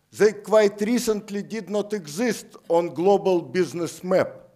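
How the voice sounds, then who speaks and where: A man speaks with a Russian accent. His pace is very slow. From Siberia, Russia. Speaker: economist. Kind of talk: lecture. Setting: lecture theatre with audience.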